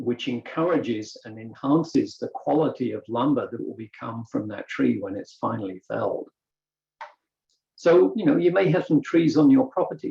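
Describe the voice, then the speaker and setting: Speaking with a British accent, a man keeps to a moderate pace. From Britain. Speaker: woodworker. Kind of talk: presentation.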